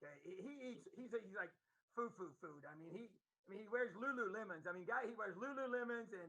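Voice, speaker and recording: In a raised, projected voice, a man with an American accent speaks at a high pitch and a fairly quick pace, his bright, sharp tone carrying lively intonation and big swings in loudness. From Indiana. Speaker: football coach. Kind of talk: casual chat.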